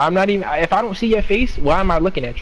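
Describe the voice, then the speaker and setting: A man speaks at a very fast clip over noticeable background noise. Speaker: retail worker. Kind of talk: casual chat.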